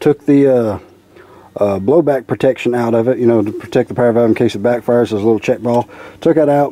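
This man's voice has a dark, mellow tone. The sound is dry, with no echo. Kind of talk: casual technical explanation. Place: open country. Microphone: phone near.

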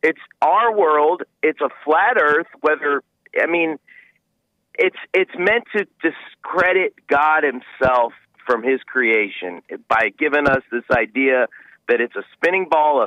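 In an American accent, a normal speaking voice moves at a fairly slow pace with ordinary pitch variation, its sound dry with no echo over a quiet background. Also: man. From US South. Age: 40s. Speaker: caller. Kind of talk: call-in conversation. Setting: phone call. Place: studio.

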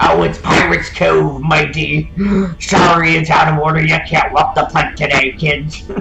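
A man uses a put-on character voice at a moderate pace. Background noise is clear. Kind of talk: gameplay commentary. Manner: exaggerated, cartoonish. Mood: playful joking.

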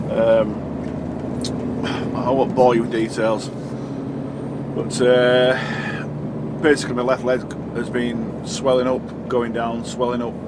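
A man is speaking. Loud background noise surrounds him. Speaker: truck driver vlogger. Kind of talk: casual vlog chat. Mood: calm, slightly concerned. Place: car.

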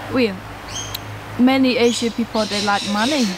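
A woman speaks with fairly even intonation. The sound is dry with no echo, though background noise is noticeable. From Cambodia. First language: Khmer. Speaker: co-host, vlogger's wife. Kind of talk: casual chat. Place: garden.

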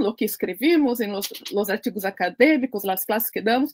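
Over a quiet background, a woman talks at a fairly slow pace with lively intonation. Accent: Portuguese. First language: Portuguese (speaking Spanish). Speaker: cultural association founder and host; host. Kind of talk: interview. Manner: halting, with many fillers. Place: home room.

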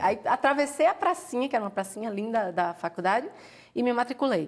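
Very wide pitch swings from a woman, set against a quiet background. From Pernambuco, Brazil. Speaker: author, former doctor. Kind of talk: interview. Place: studio. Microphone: lapel.

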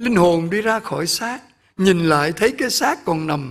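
A man's very slow speech over a quiet background. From Vietnam. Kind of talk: sermon. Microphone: podium.

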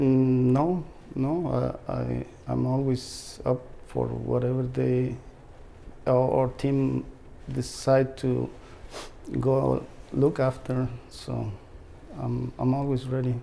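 At a very slow pace with long, frequent pauses, a man speaks with a Mexican accent amid light background noise. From Mexico. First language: Spanish. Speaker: treasure hunter, heavy equipment operator. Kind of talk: interview answer. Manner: hesitant, halting. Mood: calm, friendly. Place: home room. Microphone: lapel.

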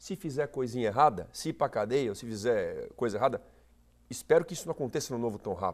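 A man talks very fast, with a quiet background behind him. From Brazil, São Paulo region (São Bernardo do Campo); São Paulo region, Brazil. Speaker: political candidate; candidate. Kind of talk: TV interview. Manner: animated. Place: studio. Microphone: lapel.

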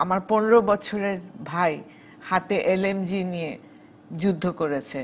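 The speaker is a woman with a medium pitch. Her intonation shows ordinary variation. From Bangladesh. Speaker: wartime cultural activist; talk show guest. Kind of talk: TV talk show interview. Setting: studio. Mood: earnest recollection of wartime. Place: studio.

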